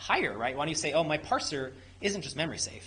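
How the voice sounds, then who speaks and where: A man speaks at a fairly quick pace. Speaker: software engineer presenting at a meetup. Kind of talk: technical presentation with audience Q&A. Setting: meetup room with live audience. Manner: fast; casual, many fillers and restarts.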